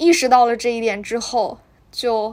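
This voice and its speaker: Speaking at a fairly slow pace, a woman uses a fairly high pitch and fairly even intonation. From Northeast China. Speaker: podcast host. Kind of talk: casual book talk. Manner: hesitant, many fillers.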